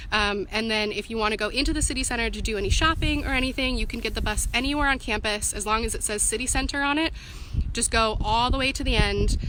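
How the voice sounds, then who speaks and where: A woman speaks at a very fast pace with a fairly high pitch and ordinary pitch variation. Noticeable background noise and audible room echo are present. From US Pacific Northwest. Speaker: student union representative. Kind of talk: live-stream Q&A. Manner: casual, filler-heavy.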